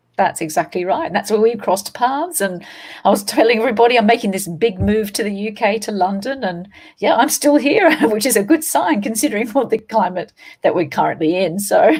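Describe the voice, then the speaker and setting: A somewhat breathy woman at a fairly quick pace, her intonation lively. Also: fairly high pitch for a woman. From Australia. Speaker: paranormal investigator and trainer. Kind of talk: interview.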